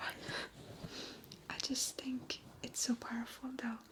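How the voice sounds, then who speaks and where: There's clear background noise around a woman. She whispers very slowly. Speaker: ASMR creator. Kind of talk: motivational talk to camera, unscripted. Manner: whispered, soft, kind.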